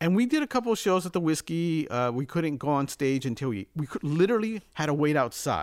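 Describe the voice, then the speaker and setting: A man with an American accent talks at a fairly quick pace with hardly any pauses. His fairly high pitch makes very wide swings, on a very clean recording with a silent background. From Los Angeles, California. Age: 50s. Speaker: music producer and mixing engineer. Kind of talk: casual interview.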